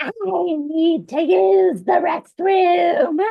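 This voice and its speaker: Doing a put-on character voice, a woman speaks high and squeaky, her pitch swinging very widely. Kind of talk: flat, rehearsed.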